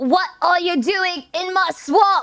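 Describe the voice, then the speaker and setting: Over faint background music, a woman performs a put-on character voice. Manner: wacky, over-the-top.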